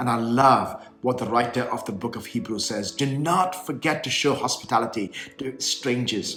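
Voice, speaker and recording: With music in the background, a man of medium pitch talks at a moderate pace with ordinary pitch variation and hardly any pauses. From India (Kerala, raised in Bengaluru). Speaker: bishop. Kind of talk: prepared video address.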